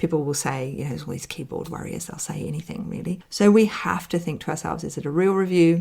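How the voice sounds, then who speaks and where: With vocal fry and ordinary pitch variation, a woman speaks at a fairly low pitch. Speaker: business mentor podcast host. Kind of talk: solo podcast talk. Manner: fast.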